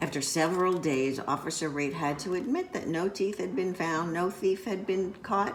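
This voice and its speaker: A woman speaks at a moderate pace in a gentle tone, with hardly any pauses and noticeable background noise. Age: old. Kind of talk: children's picture book read-aloud. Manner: gentle, storytelling.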